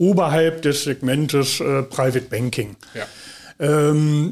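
This man's pitch sits fairly high. He speaks at a very slow pace. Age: 60s. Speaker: family office manager, former bank executive. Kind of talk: interview. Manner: hesitant, many fillers.

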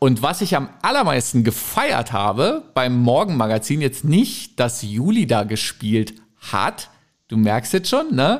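With lively intonation, a man at a medium pitch speaks at a very slow pace. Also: very even loudness, very clean recording, silent background. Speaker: podcast co-host, radio presenter. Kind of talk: casual chat.

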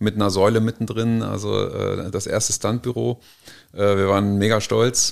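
This man has a fairly low pitch and fairly even intonation. His pace is moderate. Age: 40s. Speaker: business consultant. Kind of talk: interview. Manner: halting.

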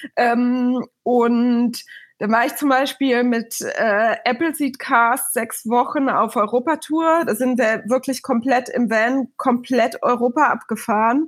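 Against a silent background in a very clean recording, a woman with a high pitch speaks at a very slow pace, with fairly even intonation and very even loudness. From Bavaria, Munich suburb. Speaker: festival booker. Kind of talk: podcast interview.

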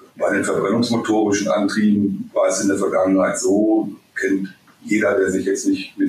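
This man keeps a moderate pace while noticeable background noise runs underneath. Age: 50s. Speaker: vehicle technology expert. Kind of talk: interview. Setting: remote call.

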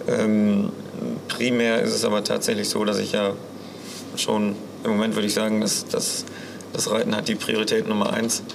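A man talks at a moderate pace with very even loudness and long, frequent pauses. Audible room echo and noticeable background noise fill the recording. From Münsterland, Germany. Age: 20s. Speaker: show jumping rider and student. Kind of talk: interview.

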